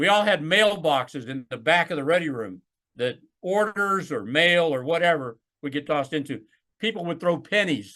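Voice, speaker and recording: A man's fairly high, bright, sharp voice with lively intonation. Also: moderate pace, quiet background. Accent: Alabama. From US South, Alabama. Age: 60s. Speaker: retired naval flight officer. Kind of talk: oral history interview.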